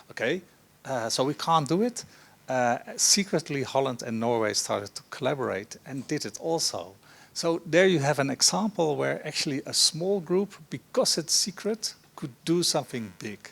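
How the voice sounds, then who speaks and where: With a Dutch accent, this voice carries vocal fry and very wide pitch swings. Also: man, fairly high pitch for a man, moderate pace. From Netherlands. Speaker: professor, panelist. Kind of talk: panel discussion. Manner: hesitant, many fillers.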